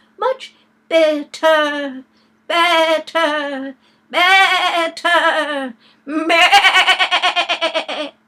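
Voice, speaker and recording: Putting on a squeaky character voice, a woman speaks at an extremely high pitch and a very slow pace. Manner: bleating like a sheep at the end.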